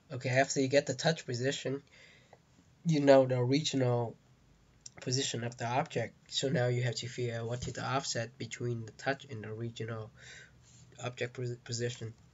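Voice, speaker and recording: A man with a non-native accent speaks fairly quickly at medium pitch, somewhat breathy. His intonation is flat and monotone, broken by long, frequent pauses. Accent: heavy non-native. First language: not English. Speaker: game developer, tutorial maker. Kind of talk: tutorial. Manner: halting, with fillers.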